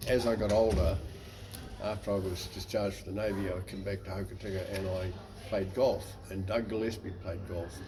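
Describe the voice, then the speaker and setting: A man speaks with a fairly low pitch. Room echo is audible. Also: fairly even intonation, fairly quick pace. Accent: New Zealand. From New Zealand, West Coast. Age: 80s+. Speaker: navy veteran. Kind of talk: interview.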